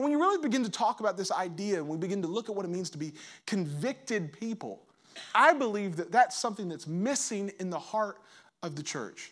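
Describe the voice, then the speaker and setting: In a very clean recording with a silent background, a man with a high voice talks at a fairly quick pace, his tone animated and his intonation lively. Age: 30s. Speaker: pastor. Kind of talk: sermon. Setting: church.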